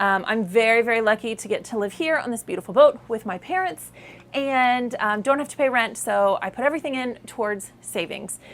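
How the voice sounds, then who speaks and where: At a fairly quick pace, a woman speaks with a fairly high pitch and lively intonation. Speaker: travel vlogger. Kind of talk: casual vlog wrap-up talk to camera. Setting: outdoors on a boat in the islands, self-filmed. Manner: fast; animated.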